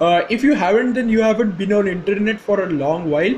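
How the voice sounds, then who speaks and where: A man with an Indian accent speaks at a moderate pace in a high pitch, with ordinary pitch variation. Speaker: gaming YouTuber. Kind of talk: casual game commentary. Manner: halting, many fillers.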